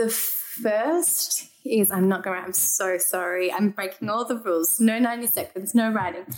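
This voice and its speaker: A woman with an Australian accent and ordinary pitch variation, over noticeable background noise. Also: medium pitch for a woman, fairly slow pace, hardly any pauses. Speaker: human rights lawyer. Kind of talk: casual chat.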